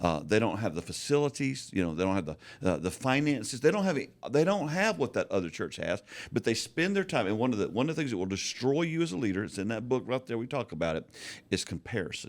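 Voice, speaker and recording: In a very clean recording with a silent background, a man at a medium pitch talks at a very fast pace with vocal fry and very wide pitch swings. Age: 60s. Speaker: pastor and author. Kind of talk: casual chat. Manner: stammering on word starts.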